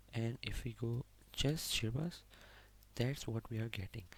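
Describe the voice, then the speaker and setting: A man with a medium-pitched voice speaks somewhat breathily. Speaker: programming tutorial instructor. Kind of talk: tutorial. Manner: slow.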